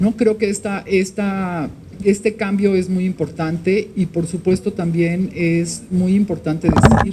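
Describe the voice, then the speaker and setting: Her pitch is medium for a woman, and her pace fairly slow. Noticeable background noise runs throughout. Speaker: victims' rights activist. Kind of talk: formal speech at press event. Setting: Senate hall with audience.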